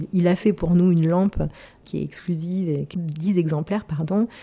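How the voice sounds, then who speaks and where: Noticeable background noise fills the recording. Against it, a woman talks at a moderate pace. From Marseille, southern France. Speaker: gallery founder and former fashion stylist. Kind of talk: interview. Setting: her apartment. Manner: hesitant, many fillers and repetitions.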